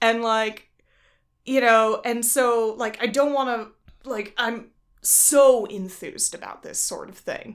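The pace is very slow, with ordinary pitch variation and big swings in loudness. It is a very clean recording with a silent background. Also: woman, fairly high pitch for a woman. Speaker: guest, tabletop game master. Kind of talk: casual conversation.

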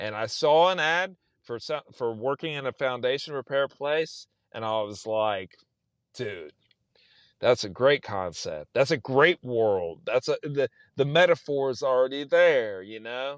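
Speaking at a fairly slow pace with a South Texas accent, a man uses a medium pitch against a quiet background. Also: lively intonation, dry, close sound with no echo. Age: 40s. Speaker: novelist. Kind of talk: casual chat.

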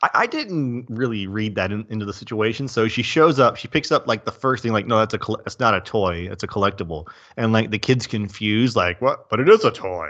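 A man's animated, medium-pitched voice with a Southern US accent, ordinary pitch variation, a fairly quick pace and hardly any pauses. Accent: Southern US accent, audible. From US South. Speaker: movie podcast co-host. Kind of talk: casual chat.

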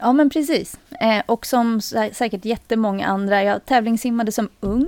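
Keeping her loudness very even, a woman with an ordinary speaking voice talks at a moderate pace with a fairly high pitch and ordinary pitch variation in a dry, close sound with no echo. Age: 40s. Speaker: retail worker and CrossFit athlete. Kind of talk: casual chat.

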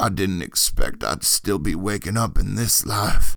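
A man puts on a character voice in a Rioplatense-free raspy tone. It sits at a fairly low pitch. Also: moderate pace. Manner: groaning.

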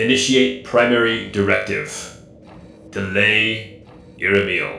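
In a loud, booming, put-on character voice, a man speaks at a fairly slow pace with a slight echo around him.

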